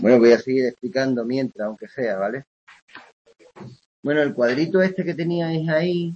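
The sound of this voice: At a moderate pace, a man with a medium pitch speaks in a slightly mellow tone with a slightly husky edge and ordinary pitch variation.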